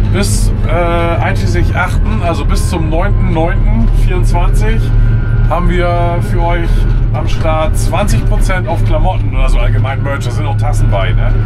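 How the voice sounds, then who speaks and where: Over loud background music, a man speaks at a very slow pace. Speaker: farmer vlogger. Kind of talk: casual vlog chat. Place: farm machine. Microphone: camera far.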